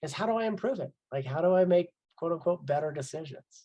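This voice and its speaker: The man's voice is somewhat breathy. He talks fairly quickly. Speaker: life coach. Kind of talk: webinar presentation. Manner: fast.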